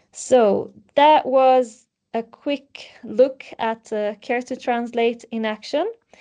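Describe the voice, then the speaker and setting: A woman speaks with an Italian accent in a dark, mellow tone at a high pitch, with ordinary pitch variation. Her pace is very slow, and the background is quiet. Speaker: webinar moderator. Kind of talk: webinar presentation.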